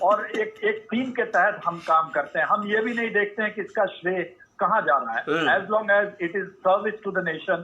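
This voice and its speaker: His pitch is high for a man, and it varies in an ordinary way. The man talks at a moderate pace. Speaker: army officer, parade commentator. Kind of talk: interview answer.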